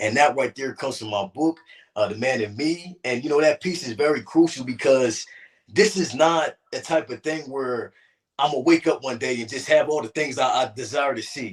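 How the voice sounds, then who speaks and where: Speaking at a moderate pace with a fairly high pitch and ordinary pitch variation, a man with an American accent uses a plain, everyday voice. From New Jersey. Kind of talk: interview. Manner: earnest, encouraging.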